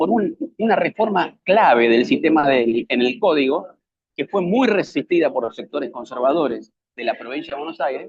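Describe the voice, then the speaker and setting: This man speaks at a fairly high pitch, with very wide pitch swings. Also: moderate pace. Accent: Argentine. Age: 60s. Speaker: public defender and lecturer. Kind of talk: lecture.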